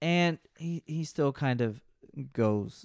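Animated in tone, a man speaks with lively intonation in a dry, close sound with no echo, on a very clean recording with a silent background. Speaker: solo podcast host discussing game novels. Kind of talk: casual book discussion podcast. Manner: animated, self-deprecating banter; stumbles over words.

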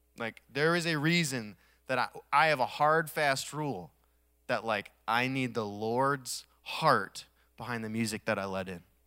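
Heard on a very clean recording with a silent background, a man at medium pitch uses a bright, sharp, animated tone with lively intonation, speaking at a fairly slow pace with long, frequent pauses. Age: 30s. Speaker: pastor. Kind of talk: sermon.

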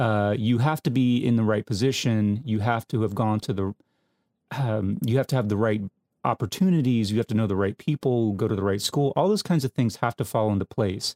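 On a very clean recording with a silent background and a dry, close sound with no echo, a man with an ordinary speaking voice at medium pitch talks at a fairly quick pace, his loudness very even and his pitch varying in an ordinary way. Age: 40s. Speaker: film podcast co-host. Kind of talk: casual chat.

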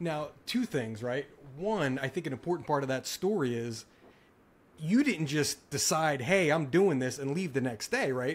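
A man speaks in a plain, everyday voice at a fairly high pitch. His intonation is lively and his pace moderate. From South Jersey, US. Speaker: podcast host. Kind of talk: casual interview chat.

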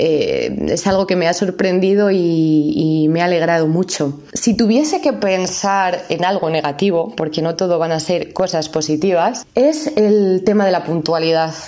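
At a fairly slow pace, the speaker keeps a very even loudness with ordinary pitch variation, over noticeable background noise. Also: woman, fairly low pitch for a woman, hardly any pauses. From Asturias, northern Spain. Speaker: language teacher. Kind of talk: podcast monologue. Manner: clear.

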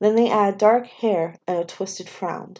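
The words are read aloud in a plain manner.

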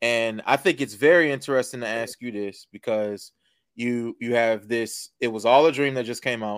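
Recorded very cleanly against a silent background, a man with an ordinary speaking voice talks at a medium pitch and moderate pace with fairly even intonation. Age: 30s. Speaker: podcast host. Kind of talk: casual chat; promotional read.

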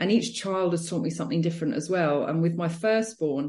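With a British accent, a woman speaks in a fairly low, dark, mellow voice. It is somewhat breathy, and her intonation is lively. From Britain. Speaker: podcast host and personal trainer. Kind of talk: podcast interview.

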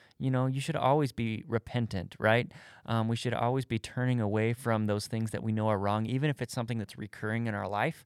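This man has an unremarkable speaking voice at medium pitch, with fairly even intonation and a fairly quick pace. The sound is dry and close with no echo, in a very clean recording with a silent background. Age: 30s. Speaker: church speaker and podcast co-host. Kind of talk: casual faith discussion.

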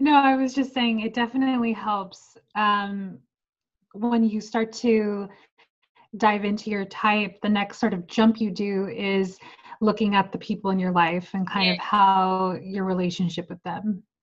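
Somewhat breathy and fairly even in intonation, the voice moves at a fairly slow pace against a quiet background. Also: woman, medium pitch for a woman. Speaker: women's life coach. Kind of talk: interview explaining personality typology.

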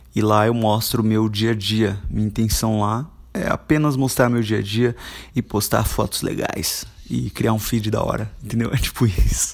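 A plain, everyday voice from a man, fairly low in pitch, at a moderate pace with fairly even intonation. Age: 20s. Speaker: podcaster and YouTuber. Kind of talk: casual solo monologue.

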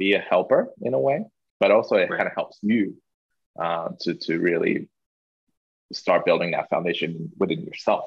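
A man with a Chinese accent at a moderate pace, broken by long, frequent pauses. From Hong Kong. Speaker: podcast guest. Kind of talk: casual interview chat.

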